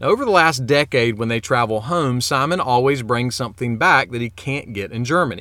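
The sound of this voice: The delivery is an unforced reading voice.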